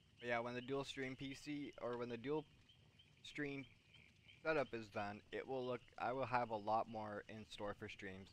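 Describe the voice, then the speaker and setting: A man with medium pitch keeps his intonation fairly even, talking at a moderate pace. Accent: Canadian. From Canada. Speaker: gaming streamer. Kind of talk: casual live-stream chat. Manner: rambling with false starts and repeats.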